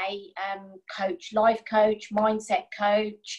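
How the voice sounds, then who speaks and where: A woman speaks very slowly in a fairly high, somewhat breathy voice. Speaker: coaching class participant. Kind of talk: coaching session.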